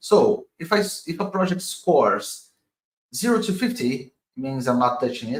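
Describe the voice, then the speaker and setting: Very slowly, a man with a Portuguese accent speaks with very wide pitch swings. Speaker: crypto investor and streamer. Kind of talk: live stream analysis. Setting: live stream. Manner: halting.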